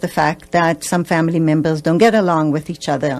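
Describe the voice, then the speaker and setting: Speaking at a fairly quick pace with a fairly low pitch, a woman with an Israeli accent keeps her intonation monotone and flat against a quiet background. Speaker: family therapist. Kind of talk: radio interview. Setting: radio studio.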